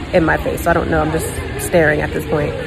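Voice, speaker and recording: A woman's voice, dry with no echo, over clear background music. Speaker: flight attendant vlogger. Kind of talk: casual vlog chat. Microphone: phone near.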